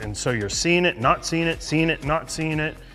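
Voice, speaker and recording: With faint music in the background, a man talks with ordinary pitch variation. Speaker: shooting coach. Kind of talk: instructional explanation. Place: studio. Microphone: lapel.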